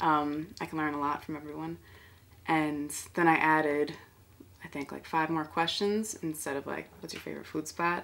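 A woman with a New York accent talks at a fairly quick pace. Her pitch is very deep and low, with light background noise behind her. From Bronx, New York. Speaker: artist. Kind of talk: interview answer. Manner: casual, conversational. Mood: reflective, warm. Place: home room.

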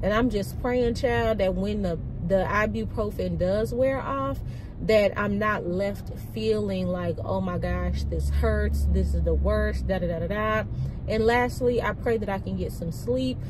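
Against clear background noise, a woman speaks fairly slowly at a medium pitch with ordinary pitch variation.

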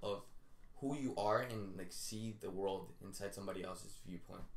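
Audible room echo surrounds a man speaking at a moderate pace and a fairly low pitch with fairly even intonation. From Colombia, raised in the US from age four. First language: Spanish. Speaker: TV writing assistant; interview guest. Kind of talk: casual chat. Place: home room. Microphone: camera far.

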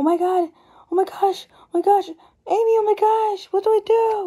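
A put-on character voice, squeaky and extremely high, moves along at a moderate pace. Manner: frantic.

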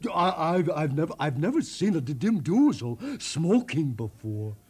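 A man puts on a character voice, fairly high-pitched with a slightly mellow tone and a slightly husky edge. He moves at a fairly slow pace with big pitch swings.

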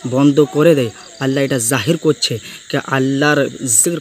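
Noticeable background noise sits behind a man speaking. His pitch is medium and his intonation fairly even. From West Bengal, Medinipur. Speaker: Quran reciter. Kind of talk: informal video testimony.

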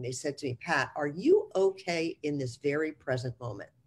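A woman with an American accent speaks in a very deep, low pitch, somewhat breathy, with lively intonation. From US Northeast, New Jersey. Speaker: real estate executive and mentor; guest. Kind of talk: interview. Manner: blunt. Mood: warm, reflective. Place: home room. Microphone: video call.

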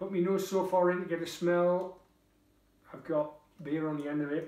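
A dark, mellow voice in a Geordie accent, monotone and flat, with audible room echo. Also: man, high pitch for a man, moderate pace. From northern England, Tyneside; northern England. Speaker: beer reviewer vlogger. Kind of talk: casual product review. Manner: chatty, informal. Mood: relaxed, jovial. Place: kitchen. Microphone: camera far.

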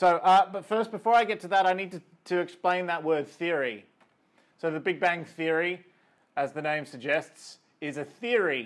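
A man with an Australian accent at a high pitch, moderate pace, ordinary pitch variation and long, frequent pauses, over a quiet background. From rural New South Wales, Australia. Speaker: astrophysicist. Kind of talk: lecture. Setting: video call. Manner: hesitant with fillers.

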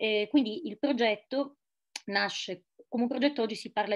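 A woman at a moderate pace with ordinary pitch variation and a quiet background. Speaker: journalist, speaker. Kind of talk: conference talk. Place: home room. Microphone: webcam.

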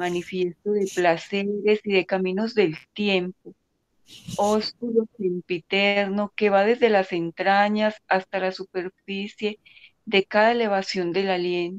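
A woman at a medium pitch speaks at a fairly slow pace with little pitch movement, in a dry, close sound with no echo.

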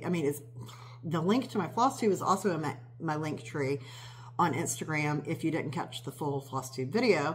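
A woman speaks at a moderate pace in a very deep, low pitch, somewhat breathy, with lively intonation. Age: 50s. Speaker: cross-stitch video creator. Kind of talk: casual show-and-tell vlog. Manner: rambling with many fillers.

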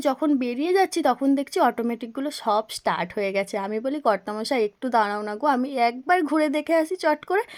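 A woman speaks with a high pitch and lively intonation. The sound is dry and close with no echo, on a very clean recording with a silent background. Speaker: vlogger. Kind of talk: vlog narration.

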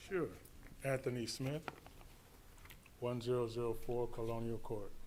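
Moderate-paced speech from a man, medium in pitch and fairly even in intonation. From western Michigan (Holland), born in Detroit. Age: 60s. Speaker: resident public commenter. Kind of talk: public comment speech. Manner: halting.

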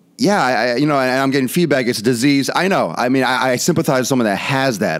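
Lively intonation from a man, the background quiet. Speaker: fitness vlogger. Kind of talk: casual commentary show. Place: studio. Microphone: studio mic.

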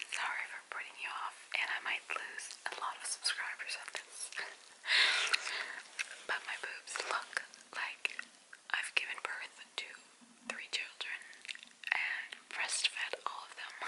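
A soft-spoken woman whispers at a fairly slow pace, with long, frequent pauses. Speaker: vlogger. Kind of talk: casual vlog chat. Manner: soft close whisper while chewing gum. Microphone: phone near.

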